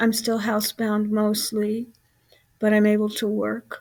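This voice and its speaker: At a very slow pace, a woman with a fairly high pitch speaks in a somewhat breathy voice with monotone, flat intonation. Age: 70s. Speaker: health vlogger with chronic illness. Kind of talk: casual vlog monologue. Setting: at home. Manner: halting, many filler words.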